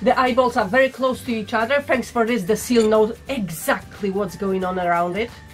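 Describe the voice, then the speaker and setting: A woman's pitch varies in an ordinary way while faint music sits in the background. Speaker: vintage reseller. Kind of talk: casual haul vlog chat. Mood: playful, humorous. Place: home room.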